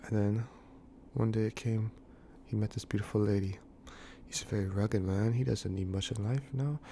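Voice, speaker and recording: This man speaks at a moderate pace in a fairly low pitch, his tone dark, mellow and somewhat breathy. His pitch variation is ordinary, and he takes long, frequent pauses. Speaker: mock preacher. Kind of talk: parody sermon. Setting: room with thin walls. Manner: quiet, held-back voice; halting.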